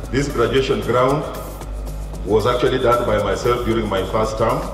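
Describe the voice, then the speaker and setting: A man talks with audible room echo and clear music in the background. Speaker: guest. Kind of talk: public speech. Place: stage.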